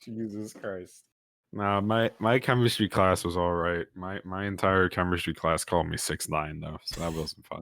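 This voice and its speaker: A man with a very deep, low pitch, fairly even intonation and a dry, close sound with no echo. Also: moderate pace. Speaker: podcast co-host. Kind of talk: casual chat.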